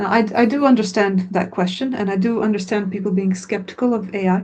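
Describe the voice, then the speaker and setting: A woman with a Croatian accent talks at a medium pitch, somewhat breathy. Her intonation stays flat and monotone. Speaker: language course founder. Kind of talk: webinar Q&A.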